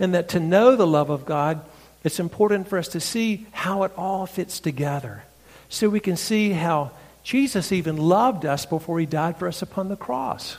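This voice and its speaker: The man's pitch is high, his pace moderate, and his pitch variation ordinary. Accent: Southern US. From North Carolina, US South. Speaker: pastor and preacher. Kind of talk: sermon. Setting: church.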